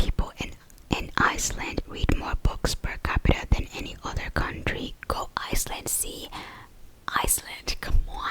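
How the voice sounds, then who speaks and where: Whispering at a moderate pace, a woman's loudness swings widely over noticeable background noise. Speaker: ASMR creator. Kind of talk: whispered ASMR fact ramble. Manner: whispered, soft-spoken.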